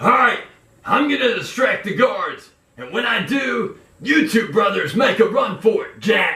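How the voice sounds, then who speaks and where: A man speaks in a put-on character voice. His pitch is extremely high, and his pace is moderate. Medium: comedy sketch.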